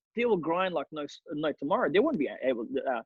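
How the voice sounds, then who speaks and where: A man with a non-native accent speaks at a fairly quick pace and fairly high pitch. His tone is energetic, with very wide pitch swings. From Australia (Melbourne), after a war-torn childhood country. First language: not English. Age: 30s. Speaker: real estate agent. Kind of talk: interview.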